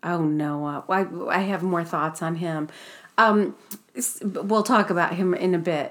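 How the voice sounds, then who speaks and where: Speaking at a fairly slow pace, a woman with a plain, everyday voice uses a fairly low pitch and ordinary pitch variation. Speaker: podcast host. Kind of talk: casual chat. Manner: laughs often, chatty.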